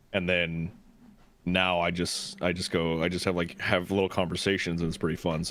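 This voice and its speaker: Very deep and low, a man's voice moves at a moderate pace. His intonation stays monotone and flat. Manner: calming.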